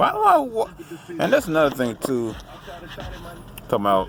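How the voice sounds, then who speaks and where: A man speaks in a relaxed tone over noticeable background noise. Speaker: vlogger. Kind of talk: casual monologue.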